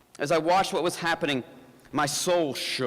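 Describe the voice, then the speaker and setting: With a slight Southern US accent, a man talks at a fairly quick pace and fairly high pitch with ordinary pitch variation. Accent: slight Southern twang. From US South, Appalachian mountains. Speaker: pastor. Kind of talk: inspirational talk. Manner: halting, with fillers and repeated words.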